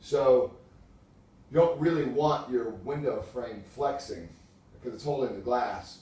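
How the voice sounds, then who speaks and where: With ordinary pitch variation, a man talks amid audible room echo. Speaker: window salesman. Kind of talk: sales pitch. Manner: fast.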